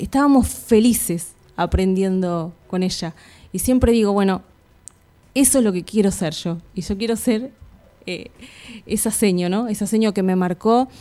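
A woman speaks at a fairly slow pace in a dark, mellow tone. Her speech has long, frequent pauses. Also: medium pitch for a woman, ordinary pitch variation. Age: 30s. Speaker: primary school teacher. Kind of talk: radio interview.

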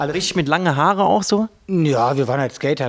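A man talks at a very fast pace. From Sauerland, western Germany. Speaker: DJ and club promoter. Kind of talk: interview.

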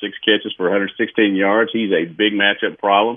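With a plain, everyday voice, a man speaks at a moderate pace and a fairly low pitch. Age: 60s. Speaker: sports website publisher and analyst. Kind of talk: radio interview.

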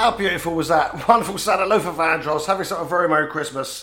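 A man with a high-pitched voice, animated and playful, talking very fast with lively intonation. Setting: radio studio.

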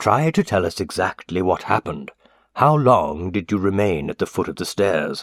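Using a put-on character voice, a man speaks fairly low with lively intonation at a moderate pace, in a very clean recording with a silent background and a dry, close sound with no echo. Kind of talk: courtroom interrogation. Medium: read story. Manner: terse, probing.

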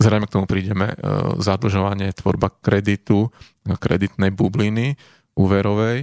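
A man with an ordinary speaking voice talks at a fairly low pitch and a moderate pace. The sound is dry and close with no echo, with very even loudness and fairly even intonation. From Slovakia, Bratislava (Devínska Nová Ves). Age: 30s. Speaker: ecologist and climate scientist. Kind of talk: interview. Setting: studio.

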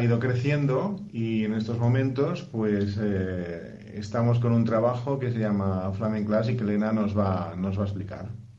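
The speech comes at a fairly slow pace with ordinary pitch variation over noticeable background noise. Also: man, medium pitch for a man. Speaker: musician. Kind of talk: interview. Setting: recorded remotely via WhatsApp.

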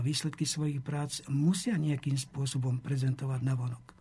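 A man speaks at a moderate pace in a fairly high, somewhat breathy voice. His intonation stays fairly even. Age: 70s. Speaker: historian. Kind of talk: interview.

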